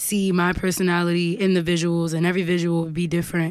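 With a New York accent, a woman speaks very fast at a fairly low pitch in a flat monotone, in a very clean recording with a silent background. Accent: New York, Harlem. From Harlem, New York. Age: 20s. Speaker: singer and songwriter. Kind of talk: casual interview chat.

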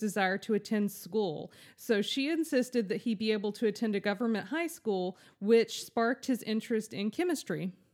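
On a very clean recording with a silent background, a woman with an American accent speaks at a moderate pace, her pitch fairly high with ordinary variation. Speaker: podcast host. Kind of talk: casual chat, informal podcast. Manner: animated, chatty.

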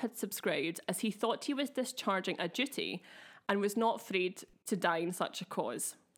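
With a Glaswegian accent, a woman talks at a moderate pace using lively intonation. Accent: Glaswegian, slightly affected. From Scotland, Glasgow. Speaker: podcast co-host. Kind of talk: casual chat with storytelling. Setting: video recording.

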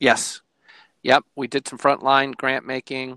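A man with an American accent has a bright, sharp tone and vocal fry, recorded with a dry, close sound and no echo. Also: very clean recording, silent background. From Michigan, Port Austin. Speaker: foundation worker. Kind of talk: casual chat.

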